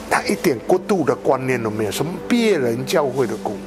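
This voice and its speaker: Over clear music in the background, a man talks at a very slow pace with lively intonation. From Malaysia (Sabah). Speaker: Methodist pastor, itinerant preacher. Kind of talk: interview answer. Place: home room.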